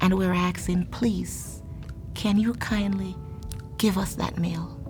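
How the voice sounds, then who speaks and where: Music plays in the background. A woman speaks at a fairly slow pace in a Jamaican accent. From Saint Mary, Jamaica. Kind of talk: interview answer.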